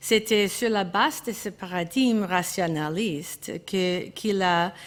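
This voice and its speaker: Speaking at a very slow pace, a woman keeps a medium pitch and fairly even intonation in a very clean recording with a silent background. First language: English (speaking French). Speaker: art historian. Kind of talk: conference talk. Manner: halting, with hesitations and self-corrections.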